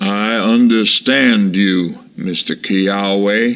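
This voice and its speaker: Putting on a character voice, a man with a fairly low pitch talks very slowly in a fairly even intonation. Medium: read story. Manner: guarded.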